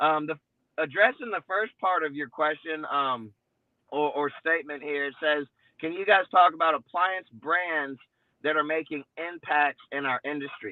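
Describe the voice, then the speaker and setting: At a moderate pace, a man with a fairly high pitch talks with ordinary pitch variation. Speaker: appliance repair business owner. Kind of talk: casual chat. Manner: loud; animated.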